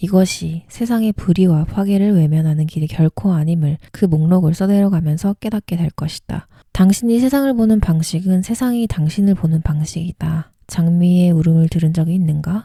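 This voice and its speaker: The voice is dark and mellow, somewhat breathy, with a calm, gentle tone and ordinary pitch variation. It moves at a moderate pace with hardly any pauses. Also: woman, fairly low pitch for a woman. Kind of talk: essay reading aloud, bedtime narration. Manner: calm, soft, gentle.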